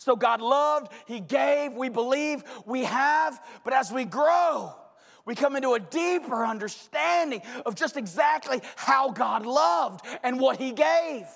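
Shouting at an extremely high pitch, a man speaks at a fairly slow pace with lively intonation. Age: 40s. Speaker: pastor. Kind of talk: sermon. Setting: church with congregation.

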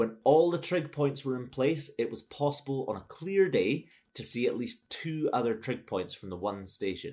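A man's fairly high voice, dark and mellow with vocal fry, very wide pitch swings, moderate pace and hardly any pauses. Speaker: podcast host. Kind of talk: casual interview chat.

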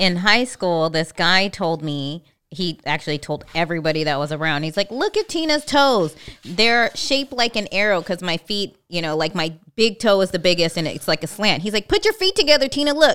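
Bright and sharp in tone, a voice with an American accent speaks at a moderate pace with lively intonation, in a very clean recording with a silent background. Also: woman. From California. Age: 40s. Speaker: podcast co-host. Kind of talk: casual chat. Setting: live stream.

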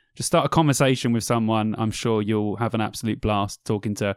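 The speaker has an English accent and a fairly quick pace. The sound is dry and close, with no echo. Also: man. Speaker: podcast co-host. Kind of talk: casual chat. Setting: video call. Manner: animated.

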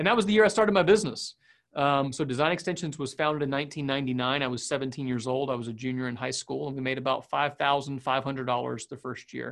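At a fairly quick pace, a man with a plain, everyday voice talks in a fairly high pitch with ordinary pitch variation. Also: quiet background. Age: 30s. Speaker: digital agency owner. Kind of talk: casual interview.

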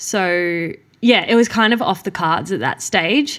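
In an Australian accent, a woman speaks at a fairly slow pace and medium pitch with ordinary pitch variation. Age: 20s. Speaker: professional middle distance runner. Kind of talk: casual interview. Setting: home studio in a living room.

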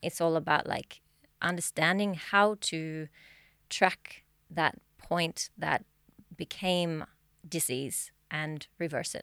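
A woman speaks very slowly, with long, frequent pauses and fairly even intonation. Her fairly low voice has a bright, sharp tone and a dry, close sound with no echo. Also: very clean recording, silent background. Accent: Australian. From Australia. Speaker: mind-body healing practitioner. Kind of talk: podcast interview. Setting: studio.

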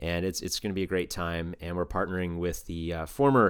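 A man with a very deep, low pitch talks at a fairly quick pace with fairly even intonation, on a very clean recording with a silent background. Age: 30s. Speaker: banjo player and community organizer. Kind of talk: casual interview chat.

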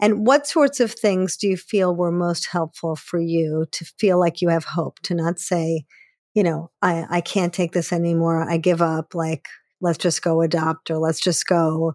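Heard in a dry, close sound with no echo on a very clean recording with a silent background, a woman with an unremarkable speaking voice talks fairly slowly at a fairly low pitch with ordinary pitch variation. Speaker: podcast host and therapist. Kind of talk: interview.

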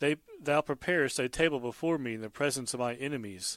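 A plain, everyday voice at a moderate pace with ordinary pitch variation, on a very clean recording with a silent background and a dry, close sound with no echo. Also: man. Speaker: devotional speaker. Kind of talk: scripture reading then devotional commentary.

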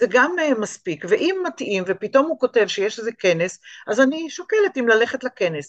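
At a moderate pace, a woman with an unremarkable speaking voice talks at a fairly high pitch with lively intonation, in a dry, close sound with no echo. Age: 60s. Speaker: art teacher and small business owner. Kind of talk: interview.

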